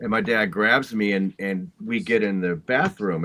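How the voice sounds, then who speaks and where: A man talks at a fairly slow pace with an American accent. His pitch is fairly low, with ordinary variation. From Oklahoma (Shawnee). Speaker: storm chaser and musician. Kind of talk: casual interview chat.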